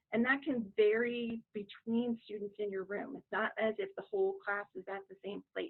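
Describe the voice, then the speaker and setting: A plain, everyday voice, a woman's, moderate in pace, fairly high in pitch, with ordinary pitch variation. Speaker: teacher and facilitator trainer. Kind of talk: webinar presentation.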